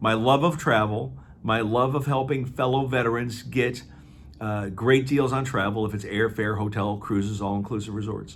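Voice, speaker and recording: With an American accent, a man talks at a moderate pace with ordinary pitch variation, and audible room echo surrounds him. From US Midwest, Aurora, Illinois. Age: 60s. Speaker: travel company owner and navy veteran. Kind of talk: promotional monologue. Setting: office. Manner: casual, with many fillers.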